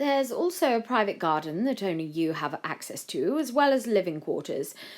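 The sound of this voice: Text is being read out. The reading voice is unforced.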